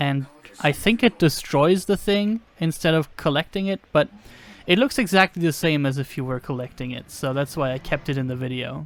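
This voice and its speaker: Using lively intonation and a non-native accent, a man speaks at a moderate pace and a fairly high pitch. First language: not English. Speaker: gaming video creator. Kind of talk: gameplay commentary. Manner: casual, with hesitations.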